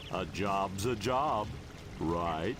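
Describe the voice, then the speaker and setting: Over loud background noise, a man puts on a character voice with a fairly low pitch. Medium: video game. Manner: dry, wry.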